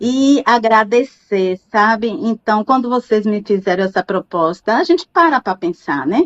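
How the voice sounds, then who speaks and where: Here is a woman with a plain, everyday voice. Her fairly high pitch moves with lively intonation. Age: 60s. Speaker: university professor. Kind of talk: interview.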